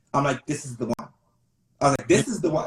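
A man with a somewhat breathy voice. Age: 20s. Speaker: social media content creator. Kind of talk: casual interview.

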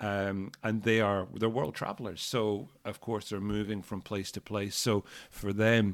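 Over a very clean recording with a silent background, a man with an Edinburgh accent talks at a moderate pace in a fairly low pitch with monotone, flat intonation. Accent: Scottish (Edinburgh). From Scotland, Edinburgh. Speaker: school founder and CEO. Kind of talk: interview. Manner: hesitant, many fillers and repetitions.

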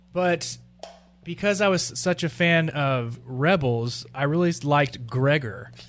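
A man at a very slow pace, with ordinary pitch variation, very even loudness and music in the background. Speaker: podcast co-host. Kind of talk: casual chat. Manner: animated, does impressions.

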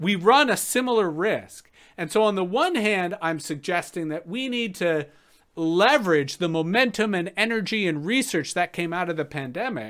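Over a silent background in a very clean recording, a man with a Canadian accent talks at a moderate pace and high pitch with lively intonation. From Canada, Toronto. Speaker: keynote speaker and farmer. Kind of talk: keynote talk.

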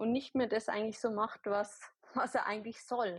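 A woman talks in an unremarkable speaking voice with a fairly high pitch and fairly even intonation. The sound is dry and close with no echo over a quiet background. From Bavaria, near Ingolstadt. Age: 20s. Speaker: holistic health practitioner and nurse. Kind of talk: podcast interview. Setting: online recording.

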